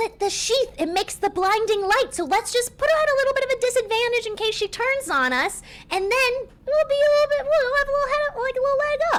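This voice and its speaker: In a put-on character voice, the speaker sounds squeaky and bubbly, talking at a very fast pace. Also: woman, extremely high pitch for a woman. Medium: actual play. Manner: bubbly, breezy, eager.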